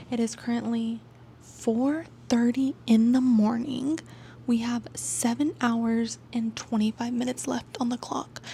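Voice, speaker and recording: This woman talks fairly slowly in a fairly high pitch with a flat, monotone delivery. There is noticeable noise in the background. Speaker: booktuber. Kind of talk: casual vlog chat.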